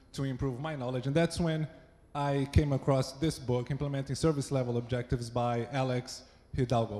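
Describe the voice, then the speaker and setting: A man speaks in a Brazilian accent at a fairly high pitch. His voice is somewhat breathy with a dark, mellow tone. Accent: Brazilian accent, noticeable. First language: Portuguese. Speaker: site reliability engineer. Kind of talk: conference talk. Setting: stage with audience. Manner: not too fast.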